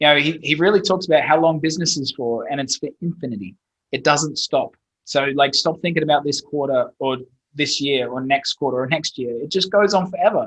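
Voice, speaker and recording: A fairly high-pitched male voice with an Australian accent. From Australia, Brisbane. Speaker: SEO agency owner. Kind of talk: podcast interview.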